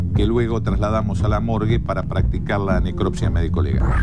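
Music plays behind a man with a very deep, low pitch and very wide pitch swings. He keeps a fairly quick pace and very even loudness. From Argentina. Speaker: forensic expert. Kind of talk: documentary testimony. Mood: grave, measured.

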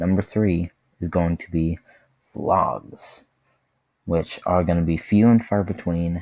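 A man talks at a fairly slow pace in a very deep, low voice. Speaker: YouTube vlogger and gamer. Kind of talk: channel trailer, casual monologue. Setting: home, speaking to camera.

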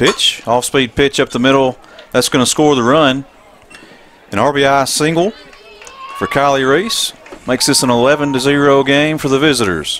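Crowd noise fills the background as a man talks at a fairly slow pace with long, frequent pauses. His voice is fairly high-pitched with ordinary pitch variation. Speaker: play-by-play announcer. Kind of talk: live sports commentary. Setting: stadium press box, live broadcast.

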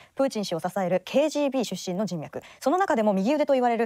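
Very fast, a woman with a dark, mellow tone and fairly high pitch speaks with very wide pitch swings. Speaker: news presenter. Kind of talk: news reading. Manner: formal.

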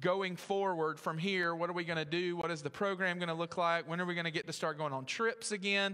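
Against a quiet background, a man speaks at a fairly quick pace with hardly any pauses, a bright, sharp tone, fairly even intonation and very even loudness. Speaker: pastor. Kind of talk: church announcements before sermon. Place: church.

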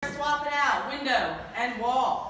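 A woman speaks in a room with strong echo. Light background noise sits underneath. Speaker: fitness instructor. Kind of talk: workout instruction. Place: gym. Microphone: camera far.

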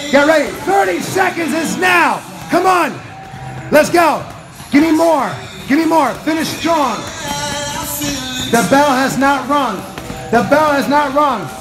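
Clear music plays behind a man who speaks at a fairly slow pace with long, frequent pauses. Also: ordinary pitch variation. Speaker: boxing class trainer. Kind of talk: coaching shouts and cues. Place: gym. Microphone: phone near.

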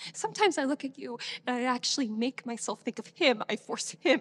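A woman talks at a moderate pace. Her voice sits high in pitch. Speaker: actor performing a monologue. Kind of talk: dramatic monologue. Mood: troubled, emotional, hesitant. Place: stage.

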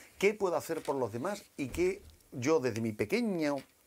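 A man talks with very wide pitch swings and vocal fry. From Jerez de la Frontera, Andalusia, Spain; Andalusia, Spain. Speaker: NGO volunteer and president; guest. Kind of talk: TV interview. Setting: TV studio. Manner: halting with repetitions. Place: studio. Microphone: lapel.

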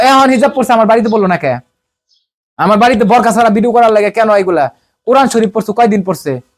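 This man's pitch is extremely high. His pitch varies in an ordinary way. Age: 30s. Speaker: interviewee. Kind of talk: emotional testimony.

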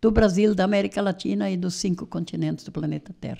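A woman's dark, mellow tone at medium pitch against a quiet background. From Rio Grande do Sul, Missões region (rural); Rio Grande do Sul. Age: 70s. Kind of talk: interview. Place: studio. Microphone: studio mic.

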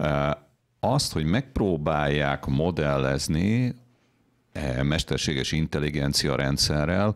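Over a quiet background, a man with a very deep, low voice talks at a fairly slow pace, showing vocal fry and ordinary pitch variation. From Hungary. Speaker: internet linguist. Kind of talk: panel discussion. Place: studio. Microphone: studio mic.

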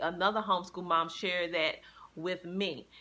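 Here is a woman with a bright, sharp tone. She speaks at a fairly slow pace.

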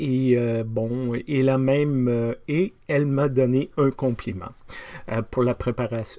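This man's intonation stays fairly even. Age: 50s. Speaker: pastor. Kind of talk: casual video diary. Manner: hesitant, many fillers. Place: office. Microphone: webcam.

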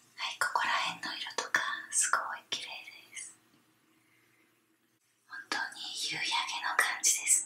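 In a whisper, the speech goes fairly slowly, broken by long pauses that come often. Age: 30s. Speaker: ASMR video creator. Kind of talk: ASMR bath bomb demo, whispered talk to camera. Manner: whispered, soft, relaxing. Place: bathroom. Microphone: phone near.

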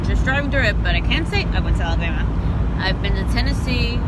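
Loud background noise runs under a very fast delivery. The sound itself is dry, with no echo. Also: woman. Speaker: vlogger on road trip. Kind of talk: casual vlog chat. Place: car. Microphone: phone near.

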